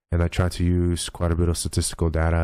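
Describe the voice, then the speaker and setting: At a fairly quick pace, a man speaks in a very deep, low pitch with a dark, mellow tone, in a very clean recording with a silent background. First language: Polish. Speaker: esports streamer. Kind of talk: casual commentary. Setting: live stream.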